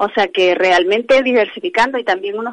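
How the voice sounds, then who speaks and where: The sound is dry and close with no echo as a woman talks at a moderate tempo. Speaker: handbag designer. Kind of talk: interview. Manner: halting.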